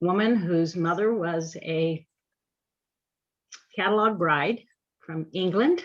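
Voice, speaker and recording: Speaking with an American accent, a woman talks at a very slow pace in a fairly low pitch. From California, Placer County area. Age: 60s. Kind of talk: roundtable discussion.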